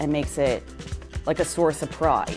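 A woman with a Philadelphia accent over clear music in the background. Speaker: interviewee, local resident. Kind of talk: interview answer. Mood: animated, amused storytelling. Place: meeting room.

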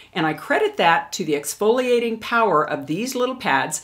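A woman speaks at a fairly quick pace with lively intonation. The background is quiet. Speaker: beauty vlogger. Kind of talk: product review tutorial. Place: home room.

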